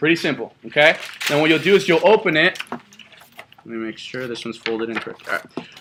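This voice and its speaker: Noticeable background noise sits under speech that moves at a fairly quick pace. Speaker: sales trainer. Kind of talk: training session. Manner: fast; animated.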